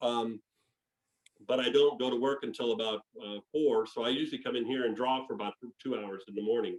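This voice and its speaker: At a fairly quick pace and with fairly even intonation, a man speaks with long, frequent pauses. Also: medium pitch for a man. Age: 60s. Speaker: diecast artist. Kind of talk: casual interview. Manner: halting, many fillers and repeats.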